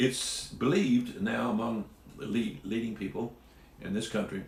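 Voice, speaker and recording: The man's voice is somewhat breathy. Audible room echo surrounds it. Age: 70s. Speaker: Bible teacher. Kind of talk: Bible teaching talk. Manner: casual.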